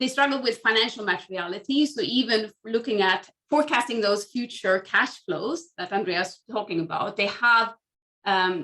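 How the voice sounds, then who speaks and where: The voice has a Swedish accent and a bright, sharp tone. It moves at a moderate pace with lively intonation. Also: woman, fairly high pitch for a woman. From Sweden. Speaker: academic researcher. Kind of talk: panel discussion.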